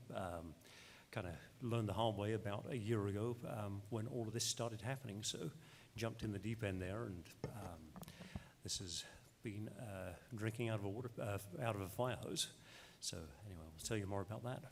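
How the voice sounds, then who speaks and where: A man speaks with an English accent. His voice is somewhat breathy, broken by long, frequent pauses. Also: fairly low pitch for a man, ordinary pitch variation, moderate pace. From England. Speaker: clinical social worker, clinic owner. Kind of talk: panel discussion.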